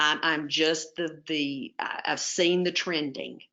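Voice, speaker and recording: This woman has a very deep, low voice. She speaks with a Southern US accent. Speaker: webinar presenter on home health therapy. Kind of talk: webinar presentation. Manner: casual, with many fillers.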